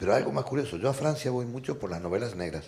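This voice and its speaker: Audible room echo surrounds a man who talks at a fairly quick pace with lively intonation and vocal fry. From Argentina. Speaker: novelist and poet. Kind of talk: panel discussion. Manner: animated.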